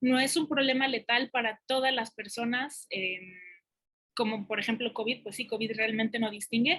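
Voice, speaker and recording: A woman with a fairly high pitch and a bright, sharp tone speaks at a moderate pace with fairly even intonation. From Mexico. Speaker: academic researcher. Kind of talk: conference talk. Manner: hesitant, many fillers.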